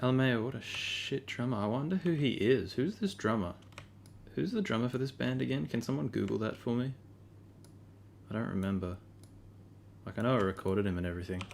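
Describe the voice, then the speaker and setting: The pace is fairly quick, broken up by long, frequent pauses. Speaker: livestreamer editing his band's drums. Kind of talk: casual livestream while editing audio. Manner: quiet.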